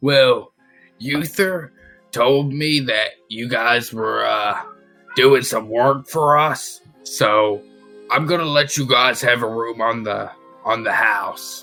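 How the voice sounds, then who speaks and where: A man uses a raspy put-on character voice at medium pitch. He speaks very slowly, with faint music in the background. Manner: intimidating.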